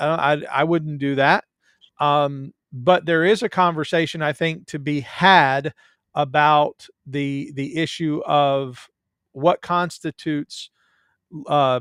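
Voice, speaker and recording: On a very clean recording with a silent background, a man with a Southern US accent speaks very slowly at a fairly high pitch with fairly even intonation, the sound dry and close with no echo. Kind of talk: casual chat. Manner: halting.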